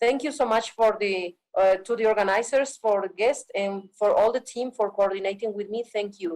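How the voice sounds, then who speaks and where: A woman with an Andean accent at a fairly high pitch, with ordinary pitch variation and a fairly slow pace. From Bolivia. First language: Quechua. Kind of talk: panel talk.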